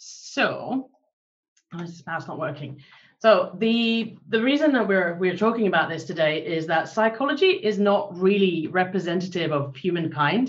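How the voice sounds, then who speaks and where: Somewhat breathy, a woman speaks with a medium pitch and lively intonation. Her pace is moderate. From Finland. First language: Finnish. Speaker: behavioral science consultant. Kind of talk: presentation. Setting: video call. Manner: hesitant, many fillers.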